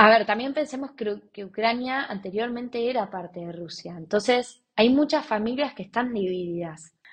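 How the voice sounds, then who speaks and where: In an ordinary speaking voice, a woman talks at a fairly high pitch and a moderate pace with ordinary pitch variation, against a quiet background. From Argentina, Buenos Aires. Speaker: volunteer and entrepreneur. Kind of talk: interview testimony.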